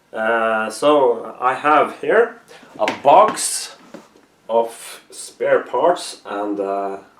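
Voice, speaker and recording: This man has a Norwegian accent and his pitch swings very widely. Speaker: costume maker. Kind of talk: tutorial. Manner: halting, many pauses.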